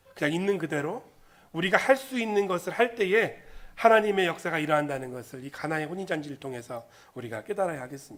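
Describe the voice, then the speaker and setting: A man talks at a very fast pace in a high pitch. His pitch swings very widely and his loudness rises and falls a lot. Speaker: pastor. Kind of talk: sermon. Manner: halting.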